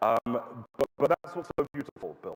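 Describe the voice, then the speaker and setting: A man with a British accent at a fairly quick pace, ordinary pitch variation, and a dry, close sound with no echo. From London, England. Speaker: public speaker and political commentator. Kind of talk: public talk. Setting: stage with audience. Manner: hesitant with fillers.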